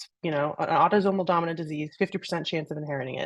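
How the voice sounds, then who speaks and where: A fairly low-pitched woman with an American accent and fairly even intonation. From US Northeast (New York City). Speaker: research program director, scientist. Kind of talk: panel Q&A, introducing herself.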